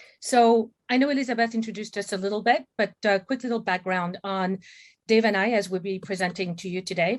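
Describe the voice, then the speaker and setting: With a French accent, a woman talks at a fairly quick pace. Her medium-pitched voice varies in an ordinary way. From France, Paris. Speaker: M&A advisor, company CEO. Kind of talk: webinar presentation. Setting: video call.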